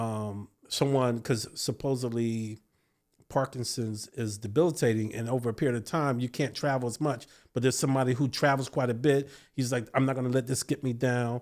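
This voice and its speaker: A man with an American accent and medium pitch, in an unremarkable speaking voice with fairly even intonation at a fairly quick pace, on a very clean recording with a silent background. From Virginia, US. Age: 50s. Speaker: beekeeper and entrepreneur. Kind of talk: casual interview chat.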